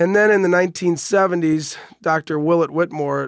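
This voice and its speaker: The sound is dry and close with no echo as a man with a normal speaking voice talks. He goes at a fairly quick pace with fairly even intonation. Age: 40s. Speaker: radiation oncologist. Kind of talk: interview. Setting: studio.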